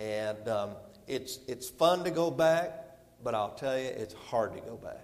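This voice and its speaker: A man talks with noticeable background noise and audible room echo around him. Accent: Southern US. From US South. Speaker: visiting evangelist preacher. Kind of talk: sermon. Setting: church service.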